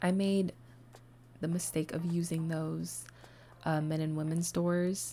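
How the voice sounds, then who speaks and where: A woman is speaking. Her pace is fairly slow. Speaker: gaming content creator. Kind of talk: voiceover commentary for a build video. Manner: hesitant, many fillers.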